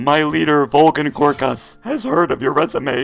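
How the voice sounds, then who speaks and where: A man puts on a robotic character voice, pitched fairly high and delivered at a moderate pace. Faint music plays in the background. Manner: playful, fun.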